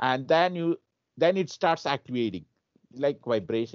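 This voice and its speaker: A man's intonation is lively while he keeps a moderate pace. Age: 60s. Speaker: show host. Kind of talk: casual chat. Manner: halting.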